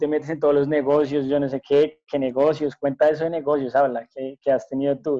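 A man's fairly high pitch in a dark, mellow tone, at a fairly quick pace. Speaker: podcast co-host. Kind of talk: casual chat.

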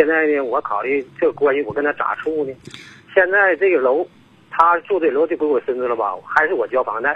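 Fairly quick speech from a man with a fairly high pitch. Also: ordinary pitch variation. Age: 60s. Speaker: caller. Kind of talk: phone-in call. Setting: phone call. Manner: halting.

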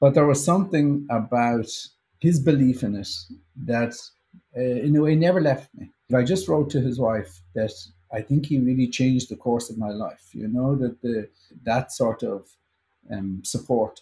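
In an Irish accent, a somewhat breathy, dark and mellow voice moves at a moderate pace with ordinary pitch variation and long, frequent pauses. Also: man, medium pitch for a man. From Ireland. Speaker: composer. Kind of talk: interview.

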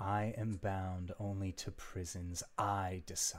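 A man puts on a character voice with a very deep, low pitch and a monotone, flat delivery at a fairly slow pace. The recording is very clean, with a silent background. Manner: commanding.

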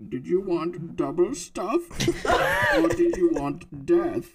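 At a middle pitch and a fairly slow pace, the speaker uses a put-on character voice. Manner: menacing.

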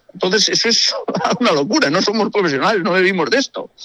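A man's raised, projected voice, high in pitch with lively intonation and a fairly quick pace, in a dry, close sound with no echo. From Galicia, Spain. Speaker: amateur rally driver. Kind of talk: radio interview.

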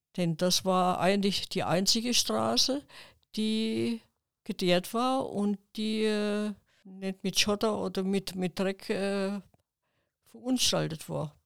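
A woman speaks very slowly at a medium pitch with ordinary pitch variation and long, frequent pauses, in a very clean recording with a silent background. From southern Thuringia, Milz near the Bavarian border. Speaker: retired village office clerk, eyewitness. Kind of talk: oral history interview. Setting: studio, seated beside host.

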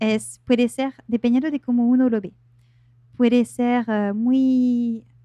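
With a slight French accent, a woman talks at a fairly high pitch in a dark, mellow tone with fairly even intonation, and the sound is dry and close with no echo. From France. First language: French (speaking Spanish). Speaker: life coach. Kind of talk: interview. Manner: hesitant, many fillers.

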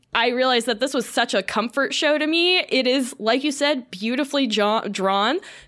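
Lively intonation in an American accent comes with very even loudness and hardly any pauses on a very clean recording with a silent background. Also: woman, high pitch for a woman, moderate pace. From US South, Florida. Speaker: podcast host. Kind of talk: casual chat.

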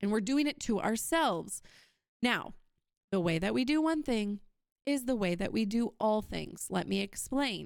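In an American accent, a woman with a fairly high pitch talks at a moderate pace with an animated tone and lively intonation, leaving long, frequent pauses, her loudness very even on a very clean recording with a silent background. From Wisconsin, US Midwest. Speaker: podcast host. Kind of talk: solo podcast monologue.

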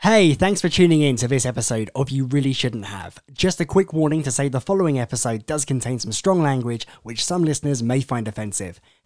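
Man's ordinary speaking voice at medium pitch, fairly quick pace, lively intonation and hardly any pauses. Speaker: podcast host. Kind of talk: casual interview.

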